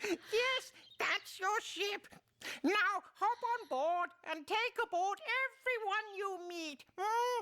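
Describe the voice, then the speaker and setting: In a squeaky, put-on character voice pitched extremely high, a woman speaks at a very slow pace with ordinary pitch variation. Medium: short film. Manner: chuckling, grandfatherly.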